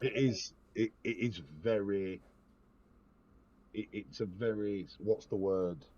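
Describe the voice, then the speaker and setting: Speaking at a very slow pace with long, frequent pauses, a man with an English accent keeps a fairly low pitch and ordinary pitch variation. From England. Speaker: podcast host. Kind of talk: casual chat. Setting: Discord voice call.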